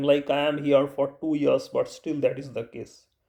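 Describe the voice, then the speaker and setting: Speaking with an Indian accent, the man has a dark, mellow tone and a fairly high pitch. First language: Bengali. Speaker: YouTuber. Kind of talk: vlog advice talk. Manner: halting.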